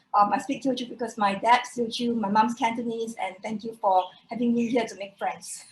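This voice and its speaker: Over noticeable background noise, a woman talks at a fairly quick pace in a fairly high voice with fairly even intonation and big swings in loudness. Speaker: poet. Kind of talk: poetry reading; casual introduction. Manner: hesitant, many fillers.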